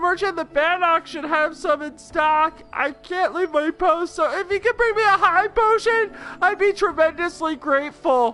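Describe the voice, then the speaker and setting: A put-on character voice at extremely high pitch, moderate in pace with hardly any pauses. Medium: game stream. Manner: melodramatic.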